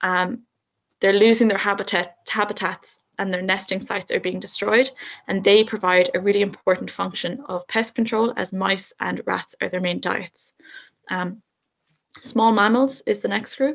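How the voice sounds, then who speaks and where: A woman with an Irish accent speaks at a medium pitch and a moderate pace, in fairly even intonation. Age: 20s. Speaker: university student. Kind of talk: student presentation.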